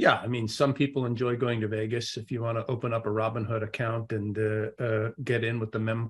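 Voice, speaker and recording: The voice is somewhat breathy, with monotone, flat intonation at a moderate pace. The recording is very clean, with a silent background. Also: man. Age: 60s. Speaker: investment executive. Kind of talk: interview. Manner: halting.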